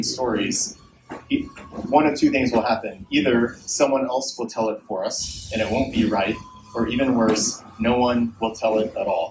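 Noticeable background noise accompanies a man whose fairly even intonation holds a moderate pace. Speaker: event host. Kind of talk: public speech introduction. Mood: earnest, heartfelt. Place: stage.

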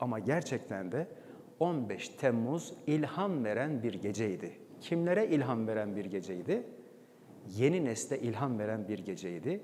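A man's dark, mellow voice at a medium pitch, fairly slow, with very wide pitch swings. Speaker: former radio and TV announcer, presenter and documentary voice-over artist. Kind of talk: talk on stage telling a personal story to an audience.

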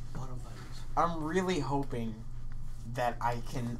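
A man's moderate-paced speech, with ordinary pitch variation, sits over light background noise. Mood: playful, joking. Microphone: headset.

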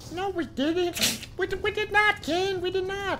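A squeaky put-on character voice goes at a fairly slow pace amid clear background noise. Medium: game stream. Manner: loud, excitable.

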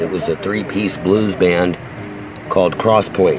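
Music plays in the background as a man talks at a moderate pace in a fairly low pitch. The sound is dry with no echo, and his intonation is fairly even. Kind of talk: casual vlog chat. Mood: nostalgic, amused. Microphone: phone near.

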